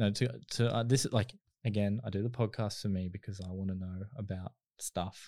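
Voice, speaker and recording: A man's fairly low, dark, mellow voice at a fairly quick pace, on a very clean recording with a silent background. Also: fairly even intonation. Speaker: podcast host. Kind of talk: casual interview chat.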